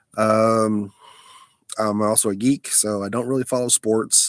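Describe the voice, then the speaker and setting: Heard as a dry, close sound with no echo, a man speaks with a Southern US accent. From Alabama, US South. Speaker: live streamer. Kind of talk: casual live stream chat. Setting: mobile live stream, lying down. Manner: halting, many fillers.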